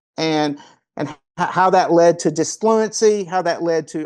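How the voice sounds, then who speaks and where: A man with a high pitch and a Kentucky accent talks fairly slowly with fairly even intonation. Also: quiet background. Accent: Kentucky Southern US. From Kentucky, US South (Paducah). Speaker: golf performance coach. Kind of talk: interview conversation.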